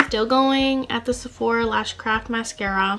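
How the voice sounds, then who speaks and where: Over noticeable background noise, a woman with a fairly high pitch speaks at a moderate pace. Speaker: beauty vlogger. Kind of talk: casual vlog talk.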